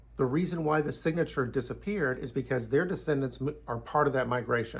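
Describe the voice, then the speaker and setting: With vocal fry and ordinary pitch variation, a man talks at a fairly quick pace. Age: 60s. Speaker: YouTuber giving Bible and history commentary. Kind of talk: casual monologue.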